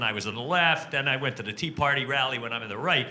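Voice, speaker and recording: Over noticeable background noise, a man talks at a very fast pace and fairly high pitch, with ordinary pitch variation. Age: 60s. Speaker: audience member. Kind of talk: audience question.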